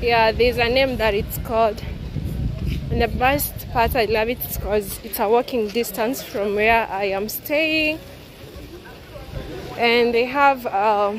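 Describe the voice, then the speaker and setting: Noticeable background noise sits under a dry sound with no echo. A woman speaks at a fairly slow pace with fairly even intonation and long, frequent pauses. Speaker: travel vlogger. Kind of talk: casual vlog chat. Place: street. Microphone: phone near.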